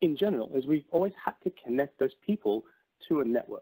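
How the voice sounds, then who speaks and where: Speaking at a moderate pace with lively intonation, a man is heard in a dry, close recording with no echo. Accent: Australian. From Australia. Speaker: tech company presenter. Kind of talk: webinar presentation. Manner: frequent fillers and repetitions.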